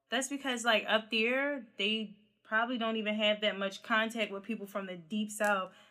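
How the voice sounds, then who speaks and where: Bright and sharp in tone, a woman with a Philadelphia accent sounds animated at a fairly high pitch and a moderate pace. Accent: Philly, drops -ing endings and R's. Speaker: podcast host. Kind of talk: casual chat.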